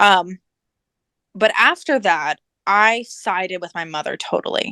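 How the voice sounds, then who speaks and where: A woman with an ordinary speaking voice talks at medium pitch with ordinary pitch variation, in a dry, close sound with no echo on a very clean recording with a silent background. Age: 20s. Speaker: alienation survivor sharing life story. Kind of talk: interview testimony.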